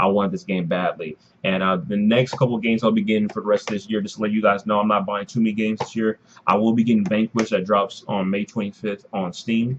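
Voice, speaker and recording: Quietly and at a very fast pace, a man talks in a fairly low pitch with fairly even intonation. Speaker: gaming YouTuber. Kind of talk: unboxing video commentary. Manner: rambling, disorganized delivery; quiet, low volume.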